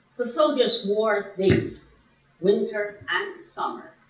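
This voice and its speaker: A woman speaks in a fairly high pitch with a Chinese accent. Her voice carries audible room echo. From China. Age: 80s+. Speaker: guest speaker. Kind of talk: lecture.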